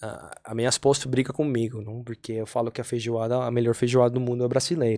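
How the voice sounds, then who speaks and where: With a Colombian accent, a man at a medium pitch talks at a very fast pace with hardly any pauses and a flat, monotone intonation. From Colombia, Cali. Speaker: podcast guest, immigrant father. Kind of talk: casual chat.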